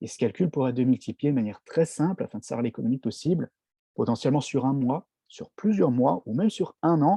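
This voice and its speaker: A fairly high-pitched man with a dark, mellow tone, quick pace and lively intonation, in a dry, close sound with no echo. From France, Strasbourg (Alsace). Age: 30s. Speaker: network marketing distributor. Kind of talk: product presentation. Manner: hesitant, frequent fillers.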